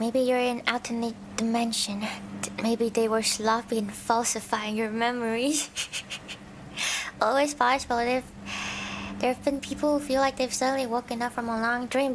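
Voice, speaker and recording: A woman speaks with a high pitch. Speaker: virtual streamer (vtuber) and ASMR creator. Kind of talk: soft reading of scary stories with casual commentary.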